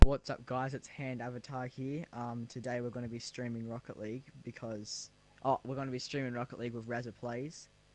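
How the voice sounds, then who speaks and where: A man with an Australian accent, medium in pitch, at a fairly quick pace with monotone, flat intonation. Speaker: gaming content creator. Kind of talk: live gameplay stream chat. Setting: online voice chat during live stream.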